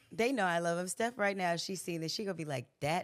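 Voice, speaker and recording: A woman talks in a fairly low pitch. The recording is very clean, with a silent background. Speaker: singer and reality TV personality. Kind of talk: casual interview chat.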